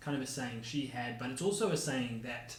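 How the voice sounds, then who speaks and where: Lively intonation in a New Zealand accent, with audible room echo. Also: man. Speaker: podcast co-host. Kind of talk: casual chat. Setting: home kitchen, dining table.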